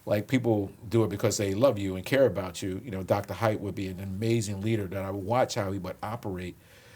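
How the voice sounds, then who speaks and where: Talking at a very fast pace with a Philadelphia accent, a man keeps a fairly low pitch and fairly even intonation while his loudness swings widely. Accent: Philadelphia American. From Philadelphia, US. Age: 60s. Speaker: police commissioner. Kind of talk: interview conversation.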